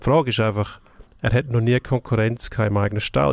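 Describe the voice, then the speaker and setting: Speaking at a moderate pace, a man uses a fairly low pitch with ordinary pitch variation. The sound is dry and close with no echo, in a very clean recording with a silent background. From Switzerland, outside Zurich. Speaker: sports journalist. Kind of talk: casual sports debate.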